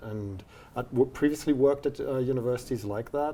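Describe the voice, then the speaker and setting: This man has a German accent. His pitch is medium and his intonation fairly even. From Germany, near the Dutch border. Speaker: university dean. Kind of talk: interview.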